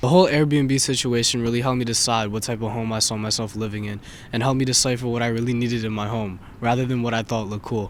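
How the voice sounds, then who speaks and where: Talking at a very fast pace, a man with a medium pitch keeps his intonation fairly even while audible room echo surrounds him. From Indonesia. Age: 20s. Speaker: student playing a rapper in a mock interview. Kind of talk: scripted mock interview.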